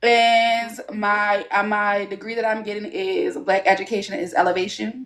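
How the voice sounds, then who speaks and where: A woman with a Baltimore accent at a fairly slow pace. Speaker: student, study group participant. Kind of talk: self-introduction in discussion.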